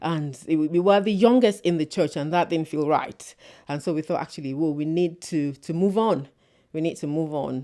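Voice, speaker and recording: A woman's very deep, low pitch with a dark, mellow tone and ordinary pitch variation, on a very clean recording with a silent background. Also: moderate pace. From Nigeria. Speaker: church member. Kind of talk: podcast interview. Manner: hesitant with repetitions.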